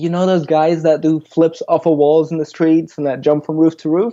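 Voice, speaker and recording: A fairly high-pitched man with a dark, mellow tone and fairly even intonation, speaking at a fairly quick pace over a quiet background. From Germany, Frankfurt. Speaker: freerunner and content creator. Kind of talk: podcast interview.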